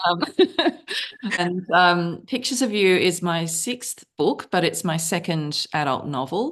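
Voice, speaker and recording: In an Australian accent, a woman speaks at a fairly slow pace and a fairly low pitch with ordinary pitch variation, against a quiet background. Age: 50s. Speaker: novelist. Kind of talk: interview.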